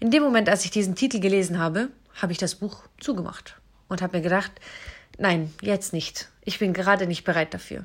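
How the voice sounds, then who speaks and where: A plain, everyday voice from a woman, fairly quick in pace, medium in pitch, with ordinary pitch variation. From Southern Germany (Isar region, Bavaria). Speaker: podcaster. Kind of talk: personal monologue. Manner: emotional.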